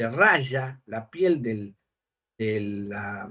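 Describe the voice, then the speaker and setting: This man's voice comes across somewhat breathy. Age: 60s. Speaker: bishop and exorcist. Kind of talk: interview.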